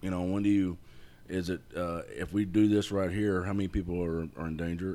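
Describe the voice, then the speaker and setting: A man speaks at a fairly quick pace in a very deep, low voice with a dark, mellow tone and fairly even intonation. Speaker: retired sheriff's sergeant, land clearing business owner. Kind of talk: casual chat.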